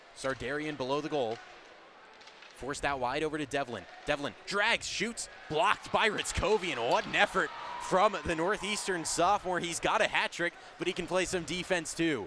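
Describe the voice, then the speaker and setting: There is noticeable background noise behind a man with a high pitch. His tone is energetic, with ordinary pitch variation. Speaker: play-by-play broadcaster. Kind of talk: live radio sports play-by-play. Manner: fast, energetic.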